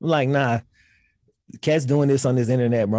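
On a very clean recording with a silent background, a man with a Southern US accent speaks at medium pitch in a dark, mellow tone. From Mississippi. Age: 30s. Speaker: sports YouTuber. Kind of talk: casual chat.

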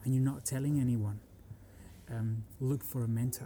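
A man's somewhat breathy, dark and mellow voice at a medium pitch, monotone and flat in intonation, at a moderate pace. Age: 30s. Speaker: musician and architect. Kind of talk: casual interview. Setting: university in Frankfurt.

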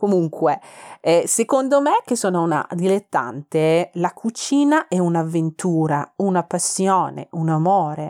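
A woman with a Persian accent speaks at a fairly slow pace and fairly low pitch, her dark, mellow tone carried by lively intonation. Her loudness stays very even, and the sound is dry and close with no echo. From Iran, Tehran. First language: Persian (speaking Italian). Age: 30s. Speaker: food podcaster. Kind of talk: casual cooking podcast monologue. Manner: hesitant, many fillers.

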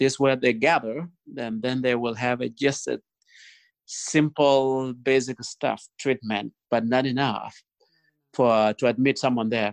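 In a dry, close sound with no echo and a quiet background, a man with a South Sudanese accent speaks at a fairly slow pace with medium pitch and fairly even intonation. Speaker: guest, nonprofit founder. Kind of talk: interview answers, storytelling. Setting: video call. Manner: gentle.

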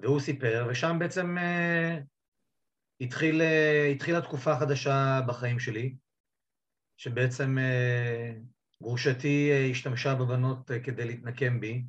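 A man's somewhat breathy, medium-pitched voice at a very slow pace, with fairly even intonation and long, frequent pauses. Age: 50s. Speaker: divorced father telling his coming-out story. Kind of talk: interview testimony.

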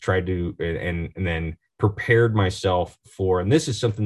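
A man's fairly low, somewhat breathy voice with an American accent, at a moderate pace. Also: quiet background. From Oregon, US Pacific Northwest. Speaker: marketing executive. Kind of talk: interview.

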